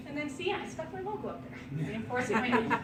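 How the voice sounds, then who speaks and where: A woman with a fairly high voice speaks at a fairly quick pace, with audible room echo and noticeable background noise. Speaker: wedding decor business owner giving a presentation. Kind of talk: presentation to a vendor networking group. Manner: fast.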